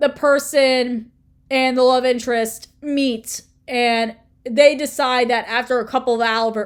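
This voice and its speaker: Intonation stays fairly even in a very clean recording with a silent background. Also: woman. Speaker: booktuber. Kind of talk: casual talk to camera.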